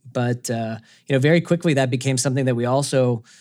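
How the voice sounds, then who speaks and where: With an American accent, a man talks at a fairly quick pace in a medium pitch, his intonation monotone and flat. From US South, Atlanta, Georgia. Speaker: video game company executive. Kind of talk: interview. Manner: conversational with frequent fillers and repetitions.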